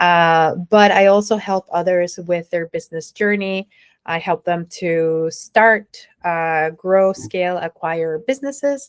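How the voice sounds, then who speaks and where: A woman with a Spanish accent and a fairly low pitch talks at a very slow pace with ordinary pitch variation, recorded very cleanly with a dry, close sound, no echo and a silent background. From Mexico. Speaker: entrepreneur and nonprofit founder. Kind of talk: interview.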